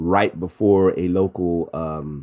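With ordinary pitch variation, a man talks in an American accent. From US Midwest. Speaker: university chaplain, musician. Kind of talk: interview.

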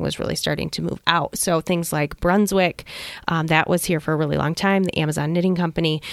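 With an ordinary speaking voice, a woman of fairly low pitch talks at a fairly quick pace and keeps her intonation fairly even. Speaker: museum staff member. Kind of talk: casual interview on radio show.

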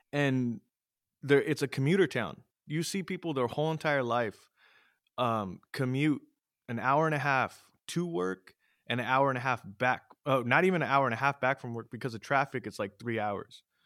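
An ordinary speaking voice from a man, medium in pitch with ordinary pitch variation, at a moderate pace on a very clean recording with a silent background. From US West Coast, East Side San Jose, California. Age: 30s. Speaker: amateur MMA fighter and podcaster. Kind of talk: casual interview chat.

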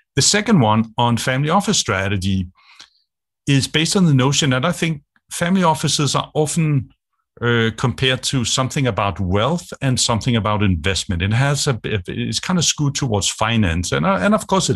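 With a Danish accent, a man speaks at a fairly quick pace in a somewhat breathy voice, his pitch swinging very widely over a quiet background. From Denmark. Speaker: business strategist. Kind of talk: interview.

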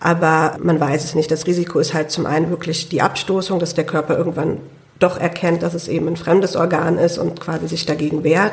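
A woman talks in a monotone, flat intonation. Noticeable background noise runs behind her. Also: fairly low pitch for a woman. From Germany, Hunsrück (Idar-Oberstein). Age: 20s. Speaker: lung transplant patient and student. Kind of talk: interview. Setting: studio.

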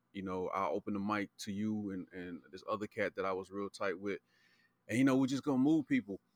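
A man with an American accent and a plain, everyday voice, fairly low in pitch, at a fairly quick pace, in a dry, close, very clean recording with a silent background. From Charlotte, North Carolina. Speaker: podcast guest. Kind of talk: casual chat.

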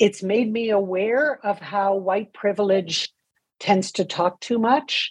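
At a very slow pace, a woman speaks in a somewhat breathy, medium-pitched voice with ordinary pitch variation. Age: 60s. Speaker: nonprofit co-founder and author. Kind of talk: interview.

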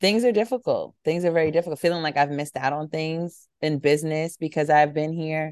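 The sound is dry and close with no echo, set against a quiet background. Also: woman. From New York, Harlem. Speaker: publicist. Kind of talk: casual interview.

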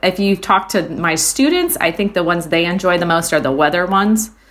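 The speaker has an American accent and a fairly quick pace. Intonation stays fairly even, with noticeable background noise. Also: woman. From Iowa, US Midwest. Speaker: music teacher. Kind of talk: casual chat. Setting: video call.

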